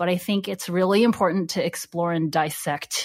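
A woman talks at a moderate pace with a General American accent, in an ordinary speaking voice pitched fairly low. The recording is very clean, with a silent background. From United States. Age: 30s. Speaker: licensed therapist. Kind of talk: interview.

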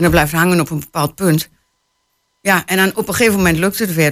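Talking at a very fast pace, a woman keeps a fairly low pitch and fairly even intonation. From Hengelo, Twente (eastern Netherlands). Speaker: novelist. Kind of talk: interview. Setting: radio studio.

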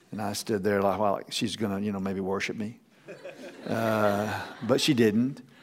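A man's fairly low voice at a moderate pace, fairly even in intonation, with long, frequent pauses and audible room echo. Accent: American. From Texas. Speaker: pastor. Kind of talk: sermon. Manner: halting.

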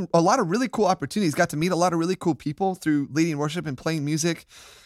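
Recorded very cleanly against a silent background, a man with an American accent speaks at a high pitch in a dry, close sound with no echo. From US, Florida (Tampa). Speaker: church worship leader. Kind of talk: casual chat.

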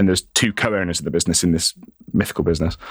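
A man's very deep, low voice at a very fast pace, dry and close with no echo, in a very clean recording with a silent background. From Ireland, raised in UK. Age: 30s. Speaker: coffee business founder. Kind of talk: interview. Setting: studio.

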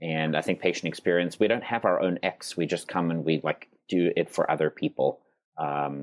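A man speaks at a fairly quick pace with an American accent. The sound is dry and close, with no echo. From South Africa, near Cape Town. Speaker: healthcare patient experience executive. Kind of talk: interview.

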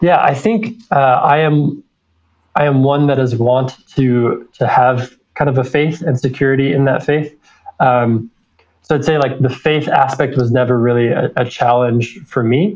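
A man with a plain, everyday voice and an American accent, fairly slow in pace, medium in pitch, with ordinary pitch variation and very even loudness. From Utah. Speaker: MBA student. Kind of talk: interview.

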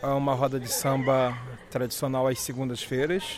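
Audible echo from the room and noticeable background noise accompany a man speaking at a medium pitch. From Rio de Janeiro, Brazil. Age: 30s. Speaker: local tour guide. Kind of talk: guided walking tour. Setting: outdoors.

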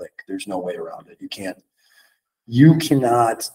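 A man speaks at a very slow pace. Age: 30s. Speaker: fitness trainer. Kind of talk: casual chat.

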